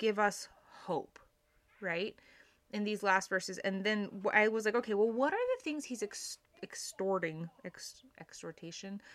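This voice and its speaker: A woman speaks with ordinary pitch variation. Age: 30s. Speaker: religious podcast host. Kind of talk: devotional scripture study monologue. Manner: casual, with frequent fillers.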